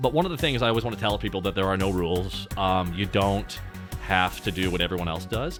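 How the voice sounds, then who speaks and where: Over music in the background, a man speaks very fast in a very deep, low voice with ordinary pitch variation. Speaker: streamer. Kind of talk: casual, profane.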